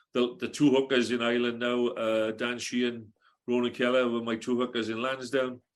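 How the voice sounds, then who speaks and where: A man with a South Wales accent talks at medium pitch and a fairly quick pace. His intonation is monotone and flat, against a quiet background. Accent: Welsh (south Wales). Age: 60s. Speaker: retired rugby coach. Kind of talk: casual podcast interview. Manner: hesitant, many fillers.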